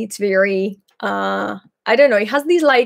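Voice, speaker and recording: A woman talks at a fairly slow pace. Her voice sits fairly high. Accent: Greek. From Greece, Patras. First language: Greek. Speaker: Greek language teacher and YouTuber. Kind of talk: live Q&A stream. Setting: livestream. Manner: halting, many fillers.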